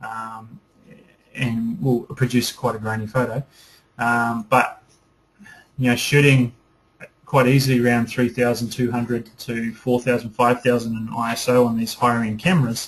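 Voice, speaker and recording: The speaker has a New Zealand accent and sounds somewhat breathy. Long pauses come often. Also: man, medium pitch for a man. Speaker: photography teacher. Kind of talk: webinar lecture. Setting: online webinar broadcast. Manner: fast; enthusiastic.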